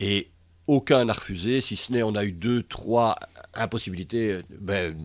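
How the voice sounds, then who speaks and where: At a fairly slow pace, a man talks in a fairly low pitch with ordinary pitch variation. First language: Dutch (Flemish) (speaking French). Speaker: comedian. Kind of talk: interview. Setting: studio. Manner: halting.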